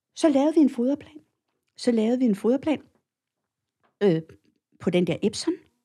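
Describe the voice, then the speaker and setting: A woman with a high pitch and a dark, mellow tone speaks at a moderate pace with lively intonation. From Copenhagen, Denmark. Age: 60s. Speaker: cattle feeding advisor. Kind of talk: interview. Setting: studio. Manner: hesitant, many filler sounds.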